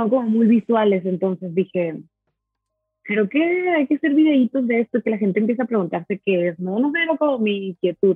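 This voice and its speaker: A woman speaks at a fairly high pitch and a fairly quick pace. Her pitch swings very widely. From Mexico, Monterrey. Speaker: coffee roaster and barista. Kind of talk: casual interview chat. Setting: video call.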